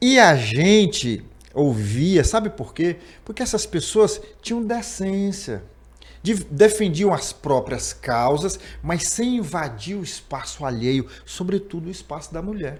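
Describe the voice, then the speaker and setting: Speaking very slowly, a man with a high pitch makes very wide pitch swings and big swings in loudness. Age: 60s. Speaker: podcast host. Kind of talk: political interview.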